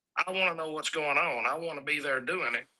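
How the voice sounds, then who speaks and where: This man's fairly high voice moves at a very fast pace with a fairly even intonation. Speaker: truck driver and freight business owner. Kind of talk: casual interview at a trade show livestream.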